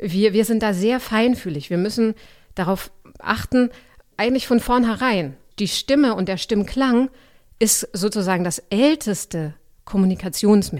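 A very clean recording with a silent background, fairly slow delivery, long and frequent pauses, and lively intonation. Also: woman, medium pitch for a woman. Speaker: voice coach and actress. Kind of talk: interview clip.

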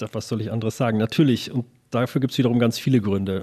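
His tone is dark and mellow. A man speaks at a medium pitch with ordinary pitch variation. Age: 50s. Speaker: tourism marketing agency owner. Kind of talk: interview. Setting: agency office table in Berlin. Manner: hesitant with fillers.

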